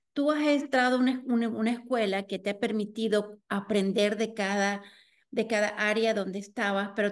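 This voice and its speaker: A woman speaks at a moderate pace with fairly even intonation and a fairly high pitch. The background is quiet. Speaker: interviewer, community storytelling series host. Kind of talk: interview. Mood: warm, smiling. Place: home room. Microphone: video call.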